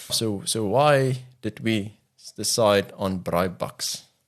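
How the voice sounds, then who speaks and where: A man's fairly low voice with an Afrikaans accent against a quiet background. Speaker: podcast co-host. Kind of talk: casual chat.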